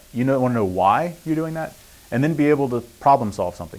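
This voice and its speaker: With an American accent, a man speaks at medium pitch with ordinary pitch variation. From US East Coast. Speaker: printing industry expert. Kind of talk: guest lecture. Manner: fast.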